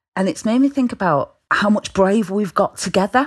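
Her speed is moderate. The woman has a British accent. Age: 30s. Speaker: peer support volunteer. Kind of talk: casual chat.

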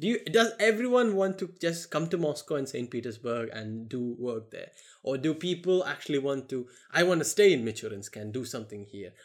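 Speaking at a fairly quick pace, a man with fairly high pitch sounds animated. His pitch swings very widely and his loudness rises and falls sharply. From India. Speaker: podcast host. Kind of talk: casual chat.

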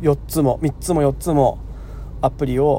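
A man's voice with noticeable background noise. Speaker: farmer and podcast host. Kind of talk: solo casual talk. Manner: casual, rambling with fillers.

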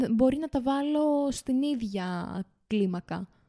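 A woman speaks in a high voice with a dark, mellow tone and lively intonation. The sound is dry and close, with no echo. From Crete, village of Damania. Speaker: podcast co-host. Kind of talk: casual chat.

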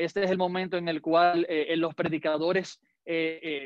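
The speaker has a Dominican accent. The pace is fairly slow. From Dominican Republic. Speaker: pastor. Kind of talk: sermon.

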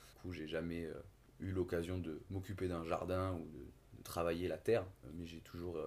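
Monotone, flat intonation from a man with a very deep, low pitch at a fairly slow pace. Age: 20s. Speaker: engineer and podcast co-host. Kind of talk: casual chat. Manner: halting.

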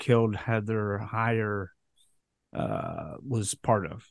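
Against a quiet background, a man speaks with an American accent. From US Midwest, Chicago. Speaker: podcast host. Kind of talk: interview.

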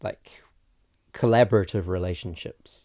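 Recorded dry and close with no echo, in a very clean recording with a silent background, a man in a New Zealand accent speaks with a dark, mellow tone, fairly even intonation and a moderate pace. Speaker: filmmaker. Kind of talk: casual chat.

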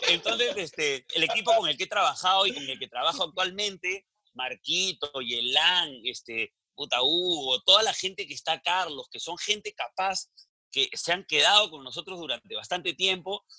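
Raised and projected, a man's bright, sharp voice with a high pitch moves at a moderate pace with lively intonation and big swings in loudness, in a dry, close sound with no echo. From Peru, provinces. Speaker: comedian and businessman. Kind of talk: casual interview.

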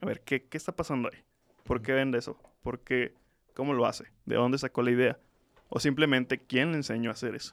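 A man with an ordinary speaking voice talks at a fairly quick pace in a medium pitch, his intonation fairly even but his loudness swinging widely, with a dry, close sound and no echo. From Mexico, Tlaxcala. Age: 20s. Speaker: student and social entrepreneur. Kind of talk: interview.

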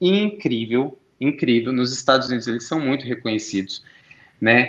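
A man speaks in a normal speaking voice. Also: quiet background. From Brazil, Brasília. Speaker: entrepreneur and conference speaker. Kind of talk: conference interview talk.

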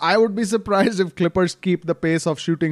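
A man with an American accent and a plain, everyday voice talks at a fairly quick pace with ordinary pitch variation on a very clean recording with a silent background. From outside the US. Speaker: basketball podcast host. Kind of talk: casual chat.

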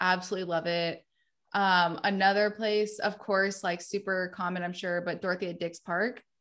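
A woman talks at a moderate pace with monotone, flat intonation. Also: medium pitch for a woman. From North Carolina (Wendell, near Raleigh). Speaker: video production entrepreneur. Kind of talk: casual chat.

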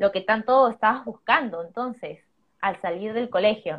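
Using an ordinary speaking voice with ordinary pitch variation, a woman speaks at a fairly slow pace. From Peru. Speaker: digital marketing entrepreneur. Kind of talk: live stream chat. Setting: live stream.

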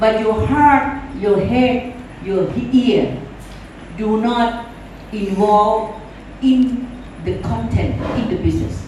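A woman with a Thai accent speaks very slowly at a fairly high pitch, with ordinary pitch variation and long, frequent pauses. Noticeable background noise and audible room echo fill the recording. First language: Thai (speaking Vietnamese). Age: 70s. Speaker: business leader and motivational speaker. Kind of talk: motivational talk.

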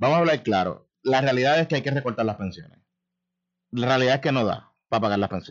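Speaking at a very fast pace, the man holds a medium pitch. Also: ordinary pitch variation. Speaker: radio talk show host. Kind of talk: radio interview.

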